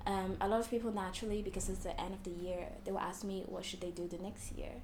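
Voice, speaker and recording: The woman's medium-pitched speech is heard with audible echo from the room and noticeable background noise. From Hong Kong. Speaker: fortune teller. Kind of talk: interview.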